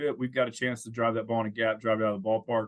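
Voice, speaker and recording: Here a man with an American accent speaks at medium pitch. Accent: slight country drawl. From California, Santa Cruz area. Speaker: former pro baseball player, college coach. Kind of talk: podcast interview. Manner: frequent fillers and repetitions.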